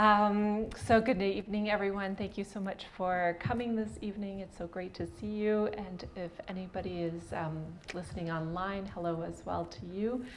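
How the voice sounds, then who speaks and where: The woman's voice sits at a medium pitch with fairly even intonation. She keeps a moderate pace with hardly any pauses. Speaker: arts consultant and facilitator. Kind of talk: presentation talk. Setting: event with live audience.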